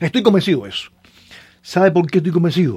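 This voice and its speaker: A man with a Cuban accent and a fairly high pitch. His tone is dark and mellow. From Cárdenas, Cuba. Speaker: pastor and poet. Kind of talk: radio interview.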